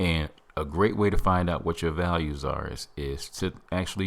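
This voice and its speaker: A man's very deep, low voice with vocal fry. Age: 50s. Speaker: self-help podcast host. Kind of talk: motivational podcast monologue. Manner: animated.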